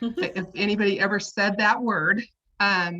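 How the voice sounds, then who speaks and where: Here a woman speaks with an American accent and a bright, sharp tone. Her intonation stays fairly even. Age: 60s. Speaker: interview guest sharing personal story. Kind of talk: testimony. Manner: halting, many repeated words and fillers.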